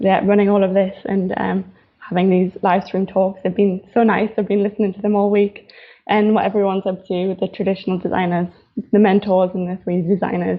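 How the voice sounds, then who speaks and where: This woman has a strong Newcastle accent and medium pitch. Her delivery is fairly quick, with monotone, flat intonation. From northeast England, Newcastle. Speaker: fashion designer. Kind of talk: live stream talk. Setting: live stream. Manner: casual, hesitant with fillers.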